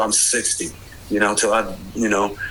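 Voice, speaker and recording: A man with an American accent speaks at a fairly quick pace. Noticeable background noise is present. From Maryland, DC suburbs. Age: 60s. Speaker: former bike messenger. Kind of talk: casual interview. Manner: energetic, youthful cadence.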